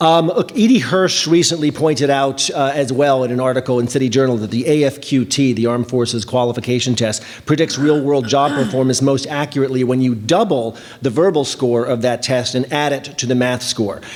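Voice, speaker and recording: A man with a medium pitch talks at a fairly quick pace with hardly any pauses. His pitch varies in an ordinary way amid noticeable background noise. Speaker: education policy researcher. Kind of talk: conference panel presentation. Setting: conference panel with audience. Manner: fast.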